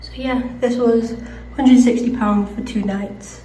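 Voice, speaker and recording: Over noticeable background noise and audible room echo, a woman with an English accent talks in a monotone, flat intonation. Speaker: travel vlogger. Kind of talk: travel vlog narration.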